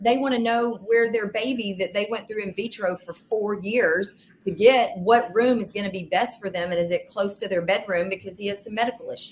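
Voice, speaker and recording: The voice is somewhat breathy and moves at a fairly quick pace with hardly any pauses. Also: woman, medium pitch for a woman. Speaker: realtor. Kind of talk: interview storytelling. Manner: animated, acts out dialogue.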